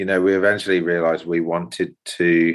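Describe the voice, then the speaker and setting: Against a quiet background, a man with a very deep, low voice speaks at a moderate pace. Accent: English. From United Kingdom. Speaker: carpenter and natural builder. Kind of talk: interview answer.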